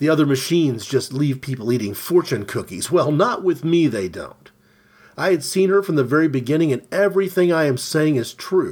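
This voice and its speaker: A man with an unremarkable speaking voice talks at a fairly quick pace, his pitch fairly high and his intonation lively. The recording is very clean, with a silent background. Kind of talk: literary audiobook reading of a surreal short story.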